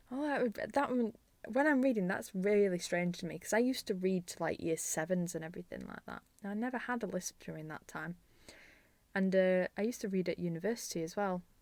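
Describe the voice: A woman with a Yorkshire accent, a slightly mellow tone, medium pitch, ordinary pitch variation and a fairly quick pace. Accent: Yorkshire, northern English.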